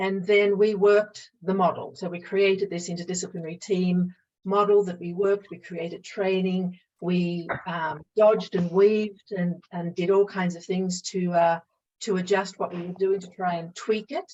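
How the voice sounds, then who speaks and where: A woman with an Australian accent, medium pitch, monotone, flat intonation, and a moderate pace. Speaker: psychologist and mediator. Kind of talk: webinar presentation.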